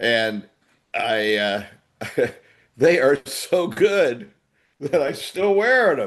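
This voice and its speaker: Very slowly, with long, frequent pauses, a man speaks at a fairly high pitch that swings very widely. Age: 80s+. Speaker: podcast co-host. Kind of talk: casual chat. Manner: halting.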